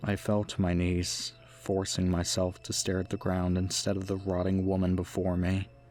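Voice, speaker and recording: The speech moves at a fairly slow pace with music in the background. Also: man. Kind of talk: creepypasta narration, first-person horror story reading.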